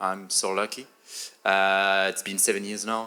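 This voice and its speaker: A man with a French accent talks at a fairly slow pace in a bright, sharp tone, and the recording is very clean with a silent background. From France. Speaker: photographer and content creator. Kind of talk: panel discussion. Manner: hesitant, many fillers.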